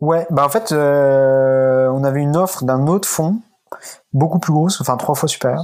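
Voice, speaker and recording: A man with a fairly high pitch speaks at a moderate pace with ordinary pitch variation and very even loudness. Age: 20s. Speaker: startup founder. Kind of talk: interview. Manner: halting.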